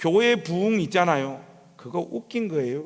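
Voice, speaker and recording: A man talks with lively intonation. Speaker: revival preacher. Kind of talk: sermon. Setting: church with congregation. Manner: animated.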